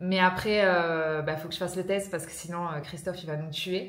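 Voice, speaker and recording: Over noticeable background noise, a woman speaks at a medium pitch with monotone, flat intonation. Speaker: business coach for fitness professionals. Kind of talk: casual vlog talk.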